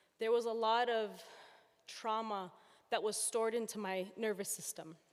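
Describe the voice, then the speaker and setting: A shaky, fairly high-pitched woman's voice at a fairly quick pace, on a very clean recording with a silent background. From Palestine. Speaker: audience member asking a question. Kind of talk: audience question at a public talk. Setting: event hall with audience, floor microphone.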